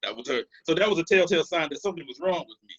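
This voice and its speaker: A man with an American accent speaks very fast with vocal fry. The sound is dry and close, with no echo. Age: 40s. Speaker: counselor. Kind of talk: interview. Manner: halting.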